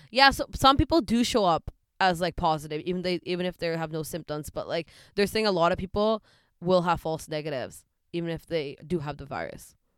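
A woman with a Canadian accent speaks at a fairly quick pace in a normal speaking voice, her pitch fairly low with ordinary variation. The sound is dry and close with no echo, recorded very cleanly over a silent background. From western Canada (Delta and Surrey, British Columbia). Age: 20s. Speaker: podcast co-host. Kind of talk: casual chat.

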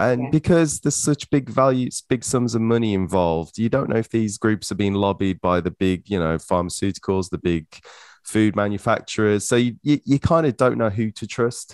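With an ordinary speaking voice, a man talks at a moderate pace in a fairly low pitch with lively intonation, recorded in a quiet background with a dry, close sound and no echo. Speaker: podcast host. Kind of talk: casual interview chat.

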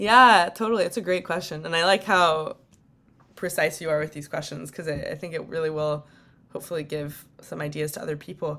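A woman with a Californian accent speaks at a very deep, low pitch in a bright, sharp tone with ordinary pitch variation, in a very clean recording with a silent background. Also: fairly quick pace. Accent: Californian American. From US West Coast, San Francisco Bay Area. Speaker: non-profit director. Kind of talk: interview.

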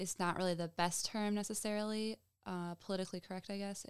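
A woman talks with an American accent. Her intonation stays fairly even. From Michigan. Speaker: podcast co-host. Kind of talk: casual chat; scripted outro. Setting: home with dogs present.

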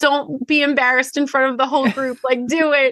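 In a Long Island accent, the speaker projects a raised voice with a bright, sharp tone at a moderate pace. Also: woman. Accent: Long Island accent with long Rs. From Long Island, New York. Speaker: podcast co-host and lawyer. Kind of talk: casual chat.

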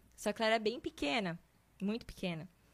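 A woman speaks in a normal speaking voice, fairly high in pitch. Her pitch variation is ordinary. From southern Brazil, Santa Catarina (Guabiruba). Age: 20s. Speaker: faith testimony guest. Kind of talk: testimony.

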